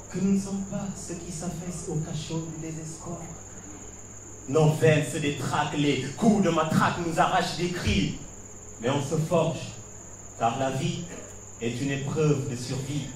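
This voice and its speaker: Over noticeable background noise, a man with a fairly high voice speaks at a fairly slow pace with ordinary pitch variation and long, frequent pauses. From Senegal. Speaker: slam poet. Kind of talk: slam poetry performance.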